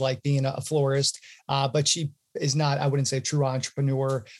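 This man talks at a fairly quick pace in a fairly high, somewhat breathy voice. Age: 30s. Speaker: entrepreneur in email sales outreach. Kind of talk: interview.

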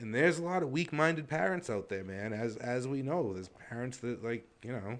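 Here is an ordinary speaking voice from a man at medium pitch. His intonation is lively. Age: 40s. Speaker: podcast co-host. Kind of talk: casual chat.

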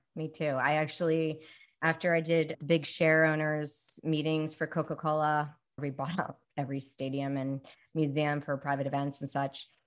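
Against a quiet background, a woman with an American accent speaks at a moderate pace in a very deep, low pitch with monotone, flat intonation. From Baltimore, Maryland. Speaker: podcast host. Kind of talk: podcast interview.

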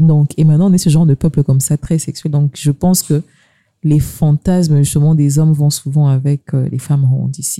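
A woman speaks at a fairly quick pace in a very deep, low pitch, her tone dark and mellow. Her voice is somewhat breathy, and the sound is dry and close with no echo. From DR Congo, Kasai. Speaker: podcast host. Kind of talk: casual chat.

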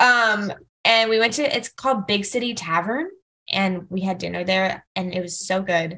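Speaking with an American accent, a woman with a medium pitch has a bright, sharp tone. She moves at a moderate pace with ordinary pitch variation. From Fort Lauderdale area, Florida. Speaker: wedding planner. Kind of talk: casual chat.

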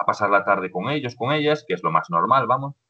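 A man in an ordinary speaking voice talks at a moderate pace with ordinary pitch variation. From Galicia, Spain (A Coruña province). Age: 20s. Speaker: social educator. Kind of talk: casual interview.

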